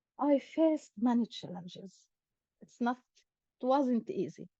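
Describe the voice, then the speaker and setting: Dark and mellow in tone, a woman's high voice moves at a moderate pace with ordinary pitch variation. The sound is dry and close, without any echo. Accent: Arabic. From Israel, Akko. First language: Arabic. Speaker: academic and club president. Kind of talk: personal talk to an online meeting. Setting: video call.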